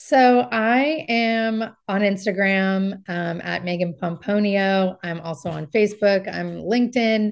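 A woman with a Californian accent talks at a very slow pace with hardly any pauses. Her medium pitch shows ordinary variation against a quiet background. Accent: Californian American. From US West Coast, Marin County, California. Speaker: real estate agent. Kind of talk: interview.

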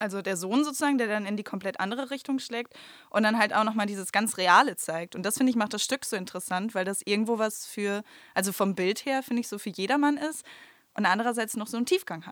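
Very fast speech from a woman, her pitch fairly high and ordinarily varied. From Germany, Münsterland (Stadtlohn). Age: 20s. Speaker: amateur stage actress and nursery teacher. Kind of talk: casual podcast interview. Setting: recording studio.

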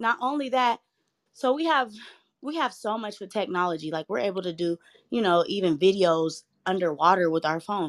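A woman speaks at a medium pitch and moderate pace with very wide pitch swings, the sound dry and close with no echo. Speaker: mother. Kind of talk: casual chat.

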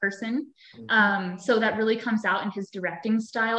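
A woman talks at a fairly quick pace in a fairly high voice. Noticeable background noise is present. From US, Pennsylvania. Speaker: actress. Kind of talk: interview. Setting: video call.

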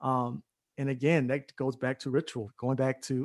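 In a dry, close recording with no echo and a quiet background, a man speaks at a moderate pace and medium pitch in a monotone, flat intonation. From Atlanta, Georgia. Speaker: hip-hop artist and community organizer. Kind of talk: panel interview.

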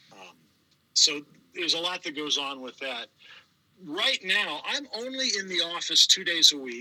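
A man with an American accent, high-pitched for a man, with very wide pitch swings, big swings in loudness, a moderate pace and long, frequent pauses. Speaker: trivia host and city communications manager. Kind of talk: casual interview.

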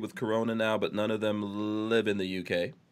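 Medium-pitched male speech at a moderate pace, a plain, everyday voice. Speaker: podcast host. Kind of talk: casual live podcast chat. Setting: live online show, video call.

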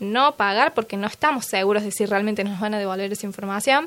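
A bright, sharp tone with ordinary pitch variation. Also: woman. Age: 20s. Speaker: security engineer. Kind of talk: interview.

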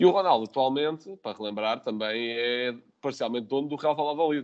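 Talking at a very fast pace, a man speaks with a European Portuguese accent. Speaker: football podcast host. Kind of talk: casual chat.

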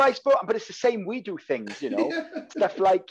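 The speaker is a man with a Welsh accent. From Wales. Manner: fast talker, slangy.

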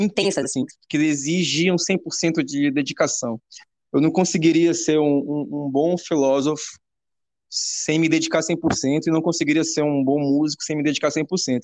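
Fairly slow speech with fairly even intonation. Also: man, fairly high pitch for a man. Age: 30s. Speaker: musician. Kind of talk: casual chat. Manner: halting.

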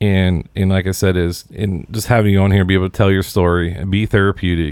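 A man with an American accent talks at a fairly quick pace in a very deep, low pitch. The recording is very clean and the background silent. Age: 30s. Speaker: podcast host. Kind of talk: casual interview chat.

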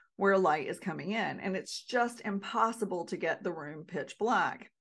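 A woman with an American accent talks at medium pitch and a moderate pace in an ordinary speaking voice, against a quiet background. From North Carolina. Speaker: podcast host, Alzheimer's prevention educator. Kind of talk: solo podcast talk.

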